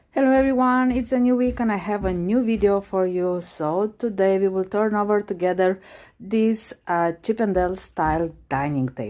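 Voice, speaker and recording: A woman's dark, mellow tone at a medium pitch, moderate in pace with lively intonation and hardly any pauses, on a very clean recording with a silent background. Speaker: furniture refinisher. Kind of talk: DIY tutorial narration.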